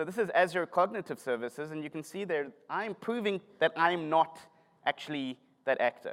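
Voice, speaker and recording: A man at a high pitch with ordinary pitch variation, a moderate pace, and a dry, close sound with no echo. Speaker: tech conference speaker, developer relations. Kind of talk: conference talk. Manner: animated.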